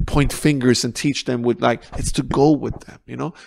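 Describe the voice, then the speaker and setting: Fairly even intonation and a moderate pace mark this speaker with a non-native accent. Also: man, very clean recording, silent background. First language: not English. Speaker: counsellor. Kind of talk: podcast interview. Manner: halting.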